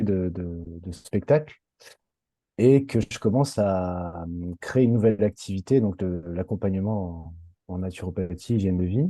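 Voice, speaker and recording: A man speaks at a fairly slow pace in a dark, mellow tone, with a fairly low pitch and ordinary variation. The background is quiet. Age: 30s. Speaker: former clown performer, coaching client. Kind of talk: testimony interview. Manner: halting, many fillers.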